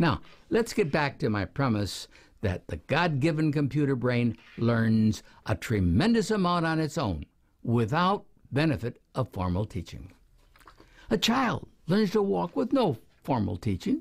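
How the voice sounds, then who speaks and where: Somewhat breathy, the voice moves at a fairly slow pace with long, frequent pauses. Its pitch swings very widely. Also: man, fairly high pitch for a man. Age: 70s. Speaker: educational researcher. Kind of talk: lecture.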